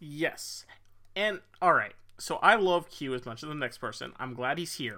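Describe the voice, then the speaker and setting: This man's voice has a bright, sharp tone. His intonation is lively. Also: moderate pace, big swings in loudness, very clean recording, silent background. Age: 30s. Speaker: film podcast co-host. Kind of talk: casual chat.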